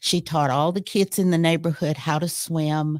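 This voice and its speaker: A woman with a Middle Tennessee accent speaks at a fairly low pitch in a very clean recording with a silent background, the sound dry and close with no echo. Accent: Southern American (Middle Tennessee). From US South. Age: 70s. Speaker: retired university educator. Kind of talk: interview.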